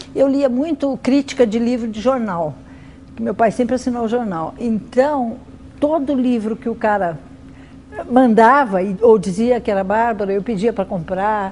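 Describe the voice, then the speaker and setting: A woman talks in an unremarkable speaking voice, pitched fairly high with ordinary pitch variation. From Brazil, São Paulo city. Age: 60s. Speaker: writer. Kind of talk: interview testimony.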